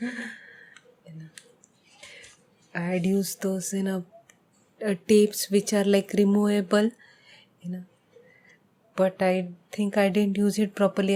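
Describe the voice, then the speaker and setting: Soft-spoken and fairly slow, a woman speaks at a medium pitch. Her intonation is monotone and flat. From India. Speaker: painter. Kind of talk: casual talk to camera.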